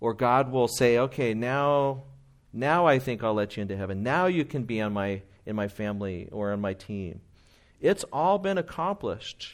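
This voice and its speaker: At a moderate pace, an unremarkable speaking voice carries lively intonation. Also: man, medium pitch for a man. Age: 40s. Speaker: pastor. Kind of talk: sermon.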